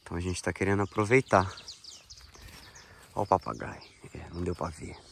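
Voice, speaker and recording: A man with a very deep, low pitch talks at a moderate pace with ordinary pitch variation amid noticeable background noise. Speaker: agroforestry farmer. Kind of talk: video diary walkthrough. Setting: outdoors on a farm. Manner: casual, informal.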